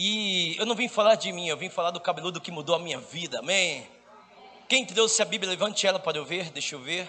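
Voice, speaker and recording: A man talks at a fairly quick pace in a high, bright, sharp voice. His tone is animated, with ordinary pitch variation. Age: 40s. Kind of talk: charismatic sermon. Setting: stage with audience.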